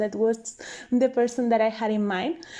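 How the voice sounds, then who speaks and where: Her voice is fairly high for a woman, with a dark, mellow tone. She speaks with a non-native accent. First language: not English. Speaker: video game content creator. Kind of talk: voiceover commentary. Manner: casual, hesitant.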